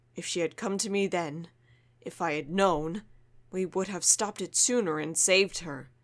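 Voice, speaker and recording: A put-on character voice at a middle pitch and moderate pace, in a very clean recording with a silent background. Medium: audio drama. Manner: calm, firm.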